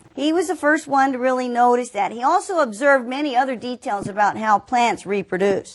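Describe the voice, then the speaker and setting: Someone with a Southern US accent speaks at a fairly quick pace with very wide pitch swings. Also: woman. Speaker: teacher. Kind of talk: lecture. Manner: conversational, direct address to students.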